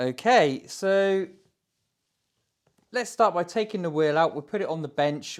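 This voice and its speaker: In a very clean recording with a silent background, a man with a British accent talks at a moderate pace with lively intonation. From UK. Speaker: DIY workshop video maker. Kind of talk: unboxing tutorial. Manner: casual, hesitant with fillers.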